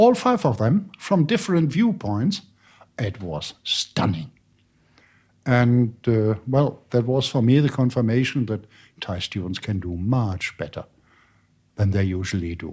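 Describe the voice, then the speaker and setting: A somewhat breathy voice with a German accent moves at a fairly slow pace, with long, frequent pauses and very wide pitch swings. The recording is very clean, with a silent background. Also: man, medium pitch for a man. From Germany. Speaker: university lecturer. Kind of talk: interview.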